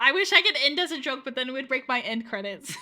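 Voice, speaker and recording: In a raised, projected voice, a woman speaks at a fairly quick pace with a bright, sharp tone and very wide pitch swings. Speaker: VTuber streamer. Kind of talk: casual live-stream chat. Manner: fast; slurred diction at times.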